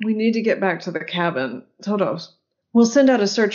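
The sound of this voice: An unforced reading voice shows ordinary pitch variation, with the background quiet.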